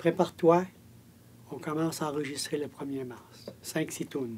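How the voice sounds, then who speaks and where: His tone dark and mellow, a man talks at a fairly high pitch with ordinary pitch variation. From Quebec, Gaspésie. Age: 80s+. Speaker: fiddler, grandfather. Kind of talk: interview testimony. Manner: halting, repetitive.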